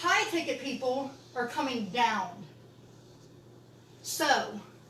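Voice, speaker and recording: The speech moves at a very slow pace with very wide pitch swings. Audible room echo surrounds it. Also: woman, high pitch for a woman. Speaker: business coach. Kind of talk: online training session. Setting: live video session with teleprompter and camera.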